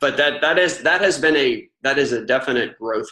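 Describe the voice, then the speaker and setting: A man with a Southern US accent talks at a fairly quick pace. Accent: Southern US twang. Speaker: author and ghostwriter. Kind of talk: interview.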